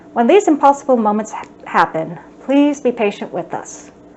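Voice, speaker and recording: A woman speaks at a moderate pace in a high voice. Noticeable background noise can be heard. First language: American Sign Language. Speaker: sign language instructor. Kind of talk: educational talk.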